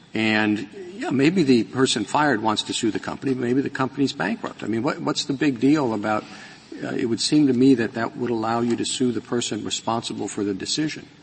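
A man's medium-pitched voice at a fairly quick pace with ordinary pitch variation, against noticeable background noise. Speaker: judge. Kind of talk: oral argument. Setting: courtroom. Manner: formal.

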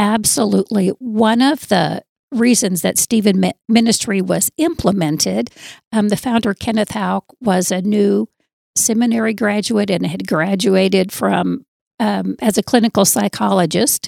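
An American accent with ordinary pitch variation and vocal fry, in a dry, close sound with no echo. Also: woman, medium pitch for a woman, fairly slow pace. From US Southwest (southern Arizona). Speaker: church ministry leader. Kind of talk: interview.

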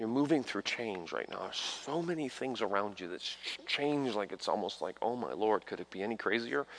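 An ordinary speaking voice from a man, medium in pitch, with lively intonation at a fairly quick pace. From New York, Italian-American home. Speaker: visiting evangelist. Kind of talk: charismatic revival healing line, laying on hands and calling out ailments. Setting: church revival service with congregation. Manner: urgent, breathless pace shifting to tender coaxing.

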